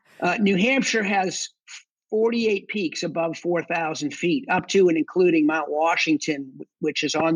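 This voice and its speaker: Someone speaks at a moderate pace in a strong Boston accent. Pitch varies in an ordinary way. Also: man. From Boston area, Massachusetts. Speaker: combat veteran and section hiker. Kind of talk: podcast interview.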